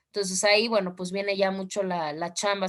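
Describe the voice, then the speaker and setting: A woman's medium-pitched, monotone, flat delivery in a Mexican accent, at a fairly quick pace. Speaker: law teacher. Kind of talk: online class lecture.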